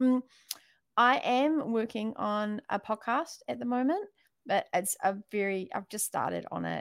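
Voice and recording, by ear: A woman with a New Zealand accent speaks at a fairly slow pace with lively intonation, the sound dry and close with no echo in a very clean recording with a silent background.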